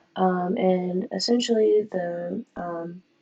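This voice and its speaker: Her voice is dark and mellow in tone, and this woman's pitch sits at a medium level. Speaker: design student presenting a project. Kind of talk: project walkthrough presentation. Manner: many filler words and hesitations.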